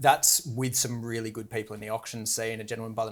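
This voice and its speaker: A man with an Australian accent, medium pitch, and a very fast pace. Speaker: auctioneer. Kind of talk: interview.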